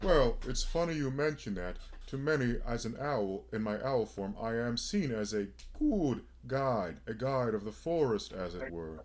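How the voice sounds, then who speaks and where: This man puts on a character voice at a medium pitch. He speaks at a moderate pace. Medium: actual play. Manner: wry, conversational.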